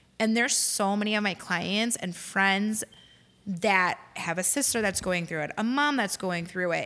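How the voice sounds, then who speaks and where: A woman's voice at medium pitch, bright and sharp in tone, with an American accent, ordinary pitch variation and a moderate pace. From Lansing, Illinois (Chicago area). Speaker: hairstylist and boutique owner. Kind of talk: casual interview. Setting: studio.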